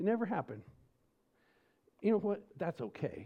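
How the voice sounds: With an American accent and a slightly husky edge, the speech moves at a moderate pace through big pitch swings. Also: man, high pitch for a man.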